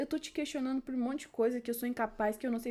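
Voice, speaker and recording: With a dark, mellow tone and a fairly high pitch, a woman speaks in a flat, monotone way. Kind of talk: informal bible devotional talk. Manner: hesitant, self-correcting.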